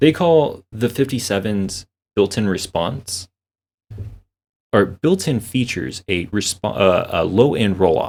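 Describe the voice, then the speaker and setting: Fairly low-pitched, a man speaks at a fairly slow pace with lively intonation. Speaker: audio/streaming content creator. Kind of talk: tutorial. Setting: home desk recording setup. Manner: casual, halting.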